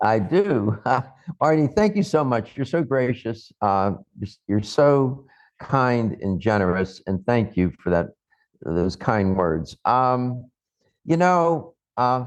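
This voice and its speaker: With a quiet background, a man speaks at a very slow pace. His medium-pitched voice swings very widely in pitch. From US, Pittsburgh, Pennsylvania. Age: 80s+. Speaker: nutritionist and former radio health talk host. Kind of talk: interview.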